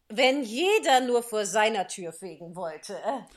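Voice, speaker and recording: This put-on character voice is gruff and hoarse, with a fairly high pitch. It moves at a moderate pace. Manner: gruff, growling.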